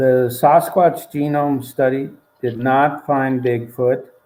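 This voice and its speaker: A man's medium-pitched, dark, mellow voice, very slow, with fairly even intonation. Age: 70s. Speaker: author and scientist. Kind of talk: interview.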